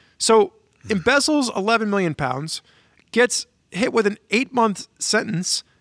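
The man's intonation is lively as he speaks at a fairly slow pace. The background is quiet and the sound dry, with no echo. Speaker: podcast host. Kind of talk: podcast discussion commentary. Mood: wry, critical. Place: home room. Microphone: studio mic.

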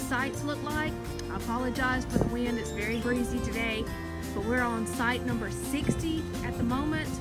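Speech at a moderate pace over loud background music. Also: woman, dry sound with no echo. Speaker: camper reviewing a campground. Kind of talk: casual vlog tour narration. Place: open country. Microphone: phone near.

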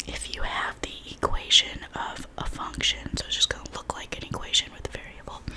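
Whispering, the speaker is soft-spoken with a calm tone. The pace is moderate, with loud background noise. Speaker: math tutor. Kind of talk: tutorial. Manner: soft ASMR whisper, calm explaining.

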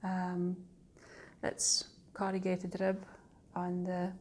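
Dark, mellow tone with a Shetland accent. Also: woman. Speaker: knitting designer and tutor. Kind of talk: casual podcast talk to camera. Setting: outdoors, breezy. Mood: warm, calm. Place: home room. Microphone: phone near.

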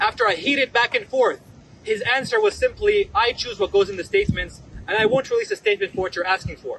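A man with an American accent at a very fast pace, dry sound with no echo, light background noise. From US, Palestinian American. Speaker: law student and student leader. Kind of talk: press conference speech. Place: street. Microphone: podium.

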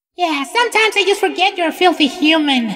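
A put-on character voice, female-sounding, is pushed to an extremely high pitch. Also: fairly quick pace. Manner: bratty, dismissive.

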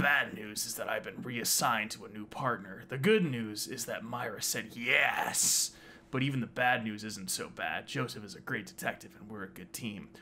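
A man puts on a character voice at a moderate pace and medium pitch, with clear background noise behind him. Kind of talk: reading game text aloud. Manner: theatrical, playing a role.

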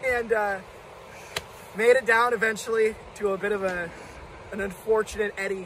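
A man's voice in a dry sound with no echo, with noticeable background noise. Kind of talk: casual storytelling. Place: waterside. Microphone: camera far.

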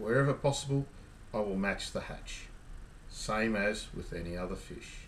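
With an Australian accent, a man talks at a moderate pace with big swings in loudness and long, frequent pauses, over light background noise. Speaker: kayak fishing youtuber. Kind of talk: casual tutorial to camera. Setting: outdoors on a kayak. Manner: hesitant, many ums and repeats. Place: home room.

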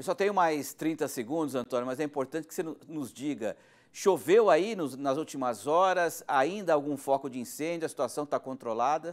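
Against a quiet background, a man with an unremarkable speaking voice talks at a moderate pace in a fairly high pitch, with ordinary pitch variation and big swings in loudness. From Brazil. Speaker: news presenter. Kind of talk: news interview. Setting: studio, guest connected remotely. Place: studio.

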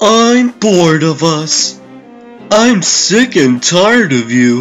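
In a put-on character voice, a man speaks at a very slow pace with a high pitch. Clear music plays in the background. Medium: dub. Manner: mocking, manic.

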